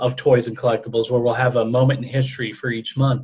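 The man's voice is medium in pitch and somewhat breathy. He speaks in a flat monotone. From New Orleans, Louisiana. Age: 30s. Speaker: podcast co-host.

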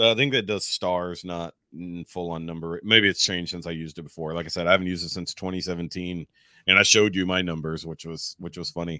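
Speaking at a very fast pace with a slight Texas accent, a man uses a very deep, low pitch and a bright, sharp tone, keeping his intonation fairly even while his loudness swings widely. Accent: general American, little Texas twang. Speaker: podcaster. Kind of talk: casual chat. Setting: online call.

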